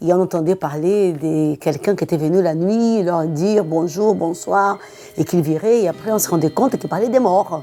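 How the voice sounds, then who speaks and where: Music plays behind a woman speaking at a moderate pace, her pitch fairly low with ordinary variation. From Brazil. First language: Portuguese (speaking French). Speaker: antiques dealer. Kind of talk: documentary interview.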